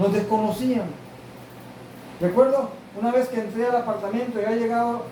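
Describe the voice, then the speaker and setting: The speech has monotone, flat intonation at a moderate pace. Background noise is noticeable, and the room echo is audible. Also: man. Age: 60s. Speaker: pastor. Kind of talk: sermon.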